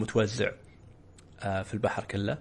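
A man with a Saudi accent sounds somewhat breathy and speaks in a flat monotone. The background is quiet. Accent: Saudi Gulf Arabic. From Saudi Arabia, Eastern Province (Khobar). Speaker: podcast host. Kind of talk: casual chat.

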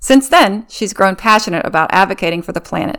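With an American accent and lively intonation, an unremarkable speaking voice comes through on a very clean recording with a silent background. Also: woman. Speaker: podcast host. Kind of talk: interview.

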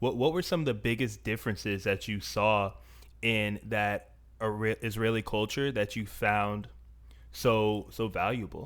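A man with an unremarkable speaking voice talks at a fairly slow pace, his fairly low pitch carrying ordinary pitch variation. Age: 30s. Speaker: podcast host. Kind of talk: casual chat.

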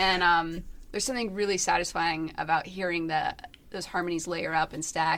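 This is a normal speaking voice moving at a fairly quick pace with fairly even intonation. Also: woman, fairly low pitch for a woman. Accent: American. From Michigan, US Midwest. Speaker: indie band musician and songwriter. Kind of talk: casual interview chat.

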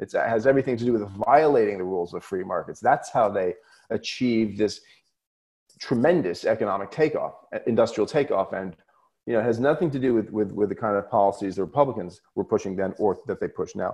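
This man has an American accent and a medium pitch. He talks at a fairly quick pace with ordinary pitch variation. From US Northeast (southern Vermont, coast of Maine). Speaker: economics professor and author. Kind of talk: podcast interview.

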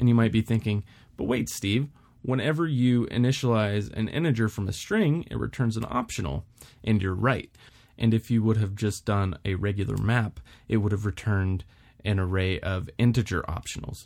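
Heard here is an unremarkable speaking voice with an American accent, moving at a moderate pace with ordinary pitch variation. The recording is very clean, and the background is silent. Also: man, fairly low pitch for a man. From Texas, Houston. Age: 30s. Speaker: podcast host, former Marine, aspiring developer. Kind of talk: solo podcast monologue. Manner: casual with filler words.

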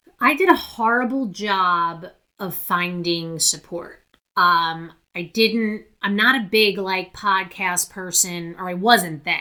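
A woman talks at a very slow pace with a bright, sharp tone. Her pitch sits in the medium range with ordinary variation. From New Jersey, US. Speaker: memoir author. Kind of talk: interview, personal story.

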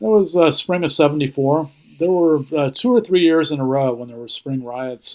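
A man with a US Midwestern accent and a fairly high pitch speaks at a moderate pace, with lively intonation and big swings in loudness. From Ohio, US Midwest. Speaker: newspaper editor. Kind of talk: casual interview.

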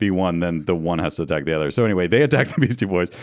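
The man's delivery is very rapid. No background sound intrudes on this very clean recording. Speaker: podcast producer and co-host. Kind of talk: casual chat. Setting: studio.

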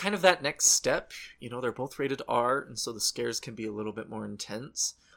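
A man speaks at a moderate pace. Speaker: podcast host. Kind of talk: casual chat.

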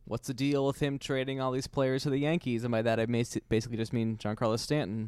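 A man speaks very fast with hardly any pauses. His intonation stays fairly even. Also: medium pitch for a man. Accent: American. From New York, Queens. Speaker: podcast co-host, baseball fan. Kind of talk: casual chat.

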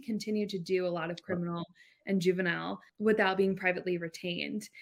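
A woman with an American accent, an unremarkable speaking voice, medium pitch, ordinary pitch variation and a fairly quick pace. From northeast Florida, Jacksonville. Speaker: lawyer, law firm managing partner. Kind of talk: interview, casual business chat.

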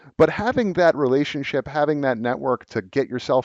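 At a moderate pace, a man talks in an ordinary speaking voice, pitched fairly high. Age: 30s. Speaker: communications professional. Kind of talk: casual chat.

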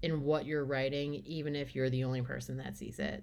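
A woman's very deep, low voice with an American accent, on a very clean recording with a silent background. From Long Island, New York. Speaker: novelist. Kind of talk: interview.

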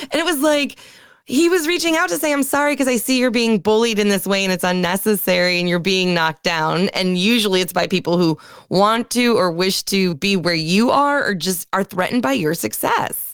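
A woman with an American accent speaks at a fairly quick pace with very wide pitch swings. Her loudness stays very even on a very clean recording with a silent background. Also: medium pitch for a woman. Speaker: veterinary technician, podcast co-host. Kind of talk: casual podcast discussion. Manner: chatty, joking.

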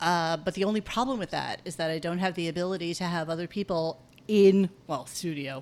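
Her voice is a woman's, fairly low in pitch with ordinary pitch variation. The recording is very clean, with a silent background. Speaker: podcast host from another show. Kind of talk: casual chat. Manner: fidgety.

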